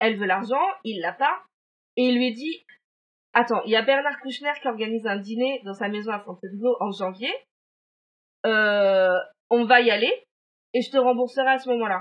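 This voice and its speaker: The speaker keeps a moderate pace and ordinary pitch variation, with long, frequent pauses. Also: woman, fairly high pitch for a woman. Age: 30s. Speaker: podcast co-host. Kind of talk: true-crime storytelling in casual chat. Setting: remote recording.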